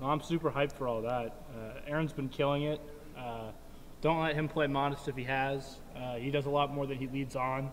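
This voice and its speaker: Pitched fairly high, a man talks at a moderate pace. His intonation is flat and monotone. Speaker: college esports player. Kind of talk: casual chat. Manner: loud.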